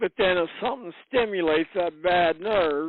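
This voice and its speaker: A man speaks with a high-pitched voice. His pace is fairly slow. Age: 60s. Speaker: prospective insurance client. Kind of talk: sales call. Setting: phone call.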